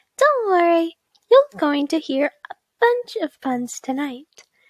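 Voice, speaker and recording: Using a squeaky put-on character voice with extremely high pitch and very wide pitch swings, a woman speaks at a fairly slow pace in a dry, close sound with no echo. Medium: read story. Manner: cheerful, encouraging.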